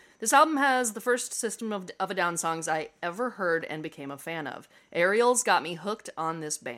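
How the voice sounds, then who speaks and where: A woman's bright, sharp, medium-pitched voice in an American accent, with very wide pitch swings, a moderate pace and hardly any pauses. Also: very clean recording, silent background. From Nebraska, US Midwest. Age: 30s. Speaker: writer and content strategist. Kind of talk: casual chat; reading aloud.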